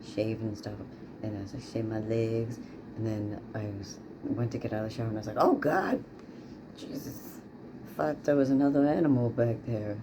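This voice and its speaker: The speaker talks at a moderate pace with ordinary pitch variation and long, frequent pauses, amid noticeable background noise and audible room echo. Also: man. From Newfoundland, Canada. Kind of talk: casual video diary. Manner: hesitant, many fillers.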